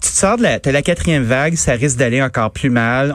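A man in a normal speaking voice, medium pitch, ordinary pitch variation, and a fairly quick pace. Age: middle-aged. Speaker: radio host. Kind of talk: radio commentary.

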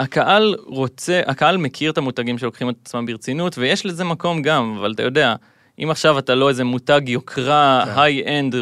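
Speaking at a fairly quick pace, a man with an unremarkable speaking voice and fairly high pitch shows ordinary pitch variation in a dry, close sound with no echo. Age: 20s. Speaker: gamer and content creator. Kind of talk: casual interview.

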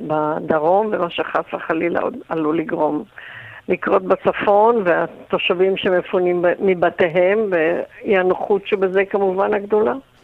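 A woman at a medium pitch, very slow pace and ordinary pitch variation, with noticeable background noise. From Israel. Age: 80s+. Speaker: retired tour guide, residents' association chair. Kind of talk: radio interview.

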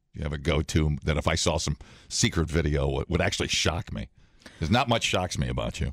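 Very fast, lively speech from a man with a very deep, low pitch and vocal fry, dry and close with no echo. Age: 30s. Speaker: morning radio co-host. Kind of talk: casual chat. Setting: studio. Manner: animated.

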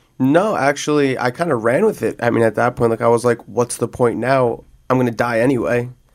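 A man with an ordinary speaking voice and an American accent, medium pitch, fairly even intonation, very even loudness and a fairly quick pace. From New Jersey. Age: 20s. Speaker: person in addiction recovery. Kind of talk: personal testimony. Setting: studio. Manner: casual, many fillers.

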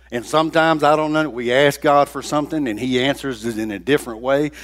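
On a very clean recording with a silent background, a man speaks at a medium pitch. He has a normal speaking voice with ordinary pitch variation. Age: 60s. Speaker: guest preacher. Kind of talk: sermon. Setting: church.

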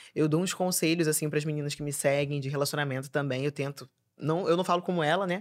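Very fast and energetic, a woman speaks with a very deep, low pitch. The recording is very clean, with a silent background. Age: 20s. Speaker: comedian and influencer. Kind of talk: casual chat.

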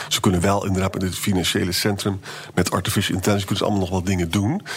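A very fast male voice, fairly low in pitch, over noticeable background noise. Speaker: historian, podcast co-host. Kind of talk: casual chat.

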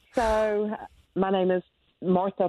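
A woman speaks with a North Carolina accent. She goes at a very slow pace. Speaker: Gold Star mother and advocate. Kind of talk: interview testimony. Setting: remote call.

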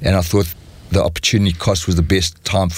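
This somewhat breathy voice moves at a very fast pace with monotone, flat intonation. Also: man. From South Africa. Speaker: entrepreneur and venture capitalist. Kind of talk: interview.

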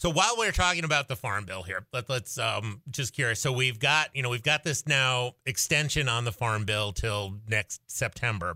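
A man with an American accent has an ordinary speaking voice at medium pitch, moving at a moderate pace with lively intonation and hardly any pauses. The recording is very clean with a silent background and a dry, close sound with no echo. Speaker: radio host (state senator filling in). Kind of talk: radio interview. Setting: radio studio.

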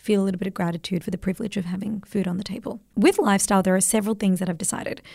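A woman with an Australian accent has a dark, mellow tone that is somewhat breathy. Her intonation is fairly even, in a very clean recording with a silent background. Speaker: podcast host. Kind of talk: casual chat. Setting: studio.

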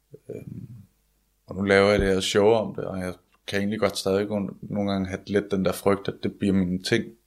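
A man speaks in a fairly low voice with a flat, monotone delivery. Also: moderate pace. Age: 20s. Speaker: comedian. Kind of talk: interview about illness.

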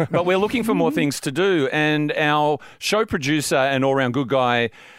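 A fairly high-pitched man in an Australian accent, lively in intonation and fairly quick, on a very clean recording with a silent background. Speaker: radio sports show host. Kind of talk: casual radio banter. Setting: radio studio.

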